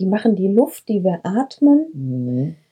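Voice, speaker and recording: Speaking at a very slow pace, this voice has a dark, mellow tone and sounds somewhat breathy. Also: woman. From Breckerfeld, Ennepe-Ruhr-Kreis, western Germany. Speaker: herbalist and kindergarten teacher. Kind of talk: interview. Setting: shepherd's wagon in herb garden.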